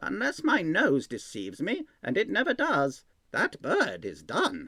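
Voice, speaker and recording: The man uses a put-on character voice pitched high. His pace is fairly slow. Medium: read story. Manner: wry, mock-gruff.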